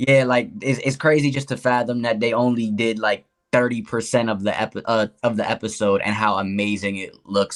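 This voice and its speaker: In a plain, everyday voice, a man at medium pitch talks fairly quickly with hardly any pauses and fairly even intonation. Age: 30s. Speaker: podcast guest, anime fan. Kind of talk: casual chat.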